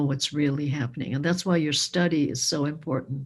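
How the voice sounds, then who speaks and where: A woman's very deep, low-pitched voice, somewhat breathy, with ordinary pitch variation. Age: 70s. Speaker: public speaker on racism. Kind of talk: community discussion.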